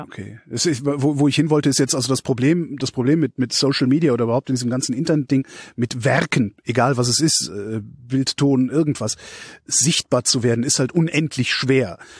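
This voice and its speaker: At a fairly quick pace, a man with a medium-pitched voice and fairly even intonation speaks in a plain, everyday voice, on a very clean recording with a silent background and a dry, close sound with no echo. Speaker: podcast host. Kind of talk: podcast interview.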